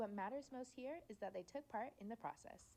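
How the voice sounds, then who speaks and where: A woman with a fairly high pitch talks at a fairly quick pace with lively intonation. Her tone is dark and mellow, with vocal fry. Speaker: student reporter. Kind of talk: news report narration. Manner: formal.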